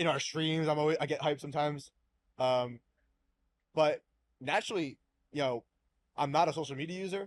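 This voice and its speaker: The speech comes at a fairly quick pace with fairly even intonation and long, frequent pauses, on a very clean recording with a silent background and a dry, close sound with no echo. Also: man, fairly high pitch for a man. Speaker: sports card YouTuber. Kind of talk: casual chat. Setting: podcast recorded live at a card show. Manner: calm, hyped at times.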